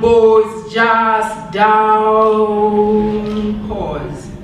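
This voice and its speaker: A woman speaks over noticeable background noise. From Zimbabwe. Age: 20s. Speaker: performance poet. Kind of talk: spoken word poetry performance. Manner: powerful, forceful.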